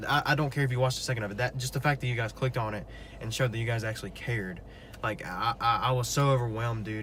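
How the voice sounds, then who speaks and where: A man's medium-pitched voice at a very fast pace with ordinary pitch variation. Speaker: podcast co-host. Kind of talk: casual chat.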